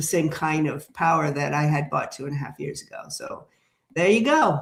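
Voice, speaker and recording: A woman talks in a plain, everyday voice, her pitch fairly low. Her pace is moderate, with ordinary pitch variation. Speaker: tarot reader and live streamer. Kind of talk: casual live stream chat. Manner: conversational with many fillers.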